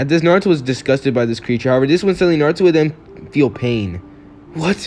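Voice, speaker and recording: Against noticeable background noise, a man talks at a very fast pace in a fairly high pitch with lively intonation. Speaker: YouTube fan-fiction storyteller. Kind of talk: improvised story narration. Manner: halting, stumbles over words; casual, filler-heavy.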